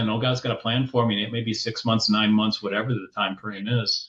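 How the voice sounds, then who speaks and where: Against a quiet background, a man speaks at a fairly quick pace in a somewhat breathy voice of medium pitch, his intonation monotone and flat. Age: 60s. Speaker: business leadership coach. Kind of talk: podcast interview. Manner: halting, many repeated words.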